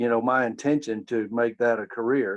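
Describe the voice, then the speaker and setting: With an American accent, a man speaks in an unremarkable speaking voice of medium pitch, with fairly even intonation and a dry, close sound with no echo. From Maryland near Washington DC, then Alabama from age 12. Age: 60s. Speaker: sports blogger. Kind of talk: casual interview. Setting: video call.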